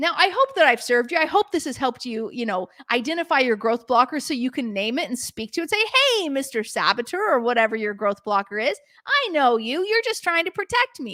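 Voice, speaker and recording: A woman talks at a fairly quick pace and high pitch, her tone animated and her pitch swinging very widely, in a dry, close sound with no echo. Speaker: podcast host. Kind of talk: podcast monologue, call to action. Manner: fast.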